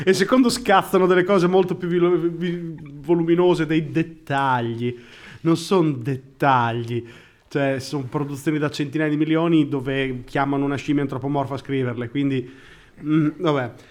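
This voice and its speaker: An unremarkable speaking voice at a moderate pace, with ordinary pitch variation. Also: man, fairly high pitch for a man. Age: 30s. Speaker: podcast co-host. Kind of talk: casual chat.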